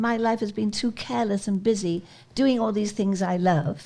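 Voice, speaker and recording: A woman talks with lively intonation. Her tone is dark and mellow, and somewhat breathy. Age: 80s+. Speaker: charity founder and skydiver. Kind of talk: interview answer.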